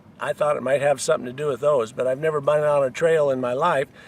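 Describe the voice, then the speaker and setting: Noticeable background noise runs under the recording. A man speaks with a fairly high pitch. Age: 60s. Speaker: hiker. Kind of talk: casual monologue giving advice. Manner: hesitant, many fillers.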